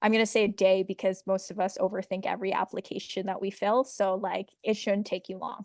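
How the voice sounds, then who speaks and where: The voice moves at a fairly quick pace with monotone, flat intonation, and the sound is dry and close with no echo. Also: woman, medium pitch for a woman. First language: not English. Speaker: midwife and program organizer. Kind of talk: online info session Q&A. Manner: casual, many fillers (um).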